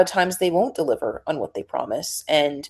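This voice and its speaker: Here a woman speaks in an ordinary speaking voice with an American accent. Her pitch is fairly low, her intonation fairly even, and her pace moderate. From New Jersey. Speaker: musician, actress and news presenter. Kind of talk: podcast interview.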